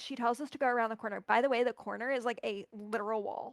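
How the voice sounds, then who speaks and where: A woman's high, animated voice with ordinary pitch variation, in a very clean recording with a silent background and a dry, close sound with no echo. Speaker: cosplayer. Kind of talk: casual chat. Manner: fast.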